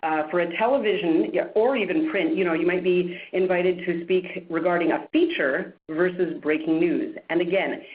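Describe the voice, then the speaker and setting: A woman talks at a moderate pace with very even loudness and hardly any pauses. Her fairly low voice carries a strong Canadian accent and ordinary pitch variation. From Canada, Montreal. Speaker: media trainer and producer. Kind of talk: webinar presentation.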